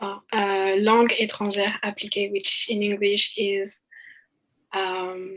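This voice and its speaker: Someone with a French accent speaks at a very slow pace in a monotone, flat intonation. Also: woman, medium pitch for a woman. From France. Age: 20s. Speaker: college student. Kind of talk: podcast interview. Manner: hesitant, many fillers.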